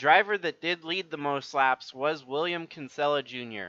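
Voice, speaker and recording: At a moderate pace, a man speaks in a bright, sharp tone. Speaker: sim racing streamer and commentator. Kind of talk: live stream wrap-up commentary. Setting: live stream. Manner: monotone.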